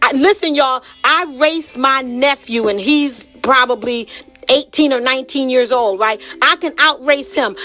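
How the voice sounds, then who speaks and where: With music in the background, a woman speaks in a raised, projected, animated voice at a high pitch and moderate pace, with ordinary pitch variation. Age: 60s. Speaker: health and wellness advocate. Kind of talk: casual monologue.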